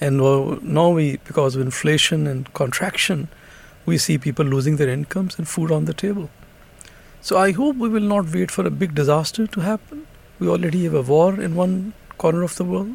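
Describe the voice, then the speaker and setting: A man with a fairly high pitch talks at a fairly quick pace with lively intonation over noticeable background noise. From Pakistan. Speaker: senior UN economic official. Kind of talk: interview.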